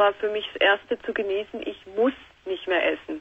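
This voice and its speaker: A woman speaks with fairly high pitch and ordinary pitch variation. Her pace is fairly slow. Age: 20s. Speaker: caller. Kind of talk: phone-in talk. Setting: phone call. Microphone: phone line.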